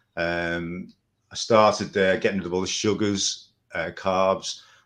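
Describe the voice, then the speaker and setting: Over a quiet background, a man with an English accent speaks at a fairly low pitch. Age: 60s. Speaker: carnivore diet follower. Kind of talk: testimony.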